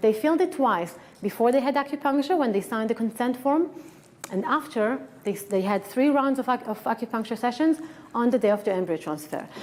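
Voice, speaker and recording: Against noticeable background noise, a woman with a strong Israeli accent speaks at a high pitch and a fairly quick pace with lively intonation. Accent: thick Israeli. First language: Hebrew. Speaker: acupuncturist and researcher. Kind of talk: lecture. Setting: conference stage with audience. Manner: animated.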